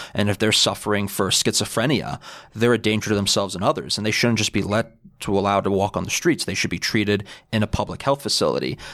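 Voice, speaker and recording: Speaking at a very fast pace, a man with a New York accent has a fairly low pitch and ordinary pitch variation. The recording is very clean, with a silent background. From New York City (Bayside, Queens). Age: 20s. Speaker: political club president. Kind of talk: casual interview.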